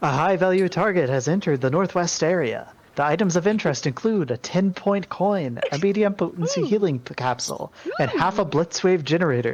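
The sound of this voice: A man's put-on, robotic character voice, high in pitch and at a fairly quick pace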